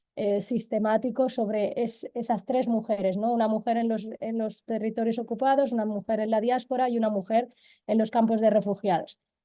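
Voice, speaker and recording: Over a quiet background, a woman with a fairly high pitch speaks in a dark, mellow tone and a monotone, flat intonation. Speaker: Sahrawi women's rights activist. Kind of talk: webinar talk. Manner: fast; halting, repeats words.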